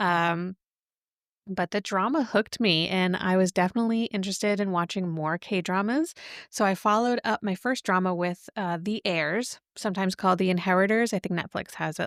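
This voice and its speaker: In a very clean recording with a silent background, a woman speaks at medium pitch and a moderate pace, the sound dry and close with no echo. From New England, US. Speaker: podcast host, children's librarian. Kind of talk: casual podcast monologue. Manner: casual with filler words.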